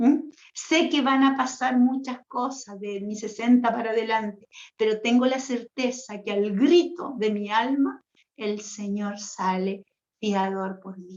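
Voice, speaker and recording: A woman speaks at a very slow pace in a somewhat breathy, fairly high voice, with ordinary pitch variation and big swings in loudness. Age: 60s. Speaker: religious sister, retreat leader. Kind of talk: spiritual teaching talk. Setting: online livestream. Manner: animated, conversational.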